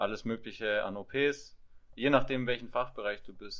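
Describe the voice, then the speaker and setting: At a moderate pace, a man talks in a medium pitch. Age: 20s. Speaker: physiotherapy trainee and podcaster. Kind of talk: casual chat.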